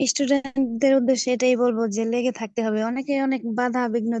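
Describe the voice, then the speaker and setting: A woman's dark, mellow voice, dry and close with no echo. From Bangladesh, Faridpur. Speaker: homemaker and freelancing student. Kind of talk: interview testimony.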